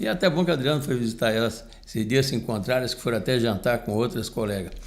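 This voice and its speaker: Talking at a very fast pace, a man uses a medium pitch. His pitch varies in an ordinary way. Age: 70s. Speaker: union leader and podcast commentator. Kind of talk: casual chat. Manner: halting, with frequent repetitions.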